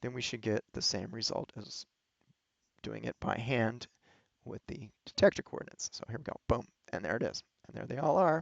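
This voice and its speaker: Vocal fry runs through this man's voice. His pitch varies in an ordinary way. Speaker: astronomer teaching data analysis. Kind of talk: screen-share tutorial. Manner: fast; casual, with fillers and restarts.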